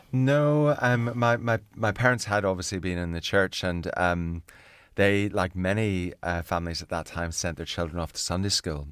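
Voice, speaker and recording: In a very clean recording with a silent background, a man with a Northern Irish accent speaks at a moderate pace with a very deep, low pitch and ordinary pitch variation. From Northern Ireland, near Belfast. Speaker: navy chaplain and minister. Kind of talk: interview. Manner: hesitant, with fillers and repetitions.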